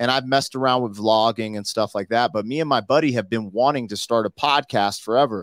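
The delivery is fairly quick with fairly even intonation in a plain, everyday voice. The sound is dry and close with no echo, in a very clean recording with a silent background. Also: man. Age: 40s. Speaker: rapper. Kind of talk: casual chat.

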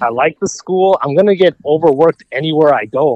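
Speaking at a fairly quick pace, a man with an American accent has an unremarkable speaking voice and ordinary pitch variation. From Minnesota. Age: 20s. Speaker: medical student. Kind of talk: casual chat.

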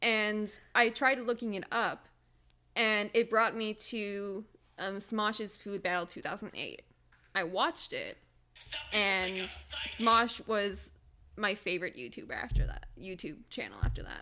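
A bright, sharp, fairly high woman's voice with an American accent, fairly slow, with long, frequent pauses, ordinary pitch variation and big swings in loudness. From Michigan. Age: 20s. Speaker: podcast co-host. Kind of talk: casual chat.

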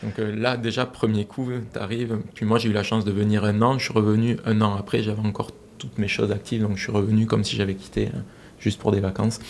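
Over noticeable background noise, a man talks at a very fast pace with a fairly low pitch and monotone, flat intonation. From France. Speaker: aerospace project director. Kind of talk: interview.

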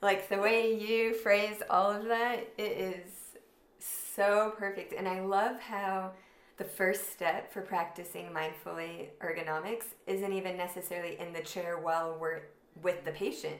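A woman speaks in a plain, everyday voice at medium pitch, with fairly even intonation and a fairly slow pace. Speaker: podcast host. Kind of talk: casual interview chat.

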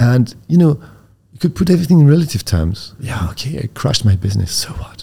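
A man speaks at a very fast clip in a dark, mellow tone. His voice is somewhat breathy. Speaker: company founder and co-CEO. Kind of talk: interview.

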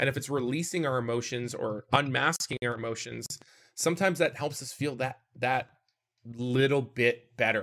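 A man's ordinary speaking voice with a Canadian accent, medium pitch, ordinary pitch variation and a moderate pace. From Canada. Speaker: streamer and mental health advocate. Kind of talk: casual chat on live stream.

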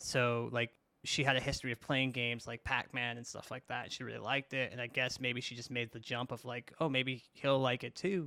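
A man speaks at a fairly quick pace in a bright, sharp tone. His intonation is monotone and flat. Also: medium pitch for a man. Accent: American. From US, New York (Brooklyn). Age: 30s. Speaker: video interviewer and content creator in the fighting game community. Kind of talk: casual chat.

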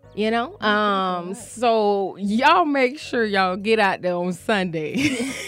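Over music in the background, a woman at a fairly high pitch speaks at a very slow pace with hardly any pauses. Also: lively intonation. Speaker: radio host. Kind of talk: casual chat. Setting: radio studio. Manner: chatty, casual; warm, friendly.

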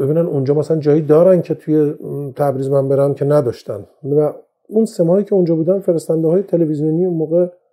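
Speaking at a very fast pace, a man with a fairly high pitch and a dark, mellow tone keeps his loudness very even and his intonation fairly even. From Iran, Tehran. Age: 50s. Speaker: audio industry engineer and magazine publisher. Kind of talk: interview. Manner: halting; formal.

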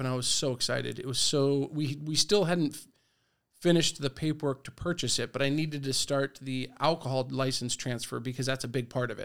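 With an American accent, a man speaks at a fairly quick pace, his fairly high pitch held in fairly even intonation. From US West Coast, San Diego area. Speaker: bar owner. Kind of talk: interview. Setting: studio. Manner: halting, many fillers.

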